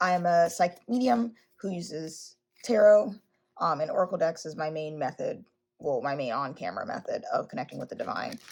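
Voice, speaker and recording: Her pitch is fairly low for a woman, and her intonation is lively. She speaks at a fairly quick pace. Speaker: psychic medium and tarot reader. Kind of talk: casual monologue.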